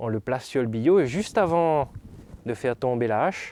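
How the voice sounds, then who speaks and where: A man talks at a fairly slow pace, his medium pitch carrying a dark, mellow tone. His intonation is lively. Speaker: storyteller. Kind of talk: sleep story told aloud. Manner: storytelling, lively, conversational.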